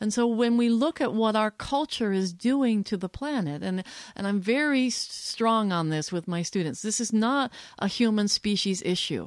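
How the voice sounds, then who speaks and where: A woman with an American accent speaks in a fairly high voice. Her pace is moderate and her intonation lively. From New Jersey, childhood in Switzerland and Belgium. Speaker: sociology professor and activist. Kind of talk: casual interview conversation. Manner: halting, many restarts.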